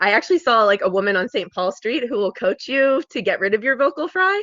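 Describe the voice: A woman speaks in a fairly bright tone with ordinary pitch variation. The sound is dry and close, with no echo.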